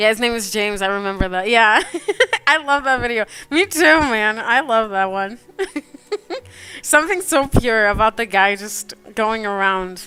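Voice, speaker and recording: Over music in the background, a woman speaks in a fairly high, animated voice with ordinary pitch variation. Her pace is moderate, broken by long, frequent pauses. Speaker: digital artist streamer. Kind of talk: casual chat. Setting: live stream.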